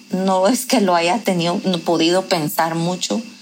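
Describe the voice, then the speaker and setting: Over noticeable background noise, a woman speaks at a fairly slow pace. Her intonation stays fairly even. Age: 40s. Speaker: lawyer. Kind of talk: interview testimony.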